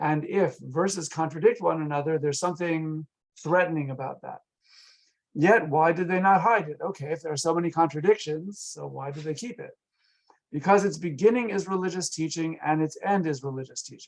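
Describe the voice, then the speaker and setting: A man with a fairly high pitch talks at a fairly quick pace. His loudness swings widely, though his pitch varies in an ordinary way. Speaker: rabbi and Bible lecturer. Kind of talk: online lecture. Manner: fast.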